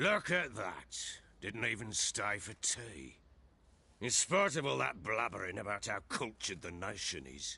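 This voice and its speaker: A raspy, put-on character voice from a man, fairly low in pitch with very wide pitch swings, at a moderate pace. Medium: video game. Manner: gruff, blunt.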